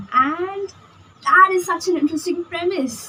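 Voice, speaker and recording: There is noticeable background noise behind the woman speaking. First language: not English. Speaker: book vlogger. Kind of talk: casual vlog book review. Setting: outdoors on a balcony.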